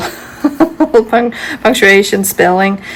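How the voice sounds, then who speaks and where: Noticeable background noise sits under a woman speaking at medium pitch in a Danish accent. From Denmark. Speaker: homeschooling parent, video creator. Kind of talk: casual tutorial. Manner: hesitant, many fillers.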